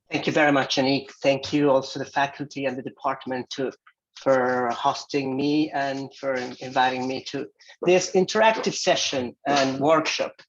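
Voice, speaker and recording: A fairly high-pitched man at a fairly slow pace, with a non-native accent. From Mexico, Jalisco. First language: Spanish. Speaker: visiting professor. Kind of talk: lecture. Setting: video call.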